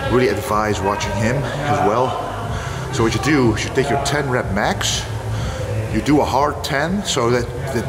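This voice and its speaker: A man's voice with ordinary pitch variation, clear music playing in the background. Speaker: fitness creator. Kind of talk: casual vlog chat explaining training. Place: home room.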